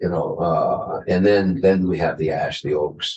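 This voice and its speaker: Speaking at a fairly slow pace, a man uses a very deep, low pitch and a dark, mellow tone with fairly even intonation. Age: 60s. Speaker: sawmill owner. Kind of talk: committee testimony. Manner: halting.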